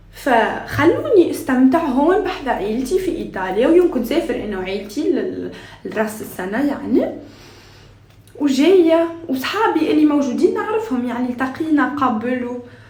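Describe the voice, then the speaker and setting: At a fairly slow pace, a woman with a high pitch makes very wide pitch swings, with audible room echo and noticeable background noise around her. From Tunisia. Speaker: lifestyle vlogger. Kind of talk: casual vlog chat. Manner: halting, many fillers and restarts.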